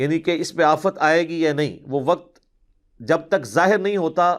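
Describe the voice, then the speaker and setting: His high-pitched voice varies in pitch in an ordinary way as the man talks. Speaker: Islamic scholar answering questions. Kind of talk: religious lecture, Q&A session.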